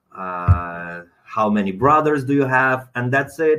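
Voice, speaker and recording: A man with a non-native accent talks at a fairly slow pace, his medium pitch carried by lively intonation. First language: not English. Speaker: dentist. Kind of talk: webinar lecture. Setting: online webinar. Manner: hesitant, many fillers.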